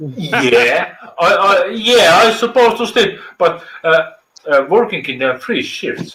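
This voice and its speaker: A man's raised, projected voice at a high pitch, with very wide pitch swings and a very slow pace. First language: Estonian. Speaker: live stream viewer joining. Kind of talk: casual chat. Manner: halting, many fillers.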